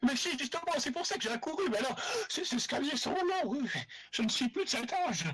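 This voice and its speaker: A man puts on a character voice with an extremely high pitch. He talks at a fairly quick pace over light background noise. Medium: actual play. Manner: fussy, motherly.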